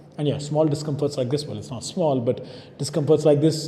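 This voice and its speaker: Speaking at a fairly high pitch, a man is heard through audible room echo and noticeable background noise. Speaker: fitness vlogger and coach. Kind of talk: vlog monologue. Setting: gym.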